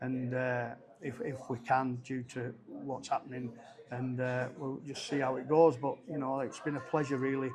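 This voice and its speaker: A monotone, flat delivery in a Cumbrian accent, with noticeable background noise. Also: man. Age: 60s. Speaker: rugby league head coach. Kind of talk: interview. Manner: halting.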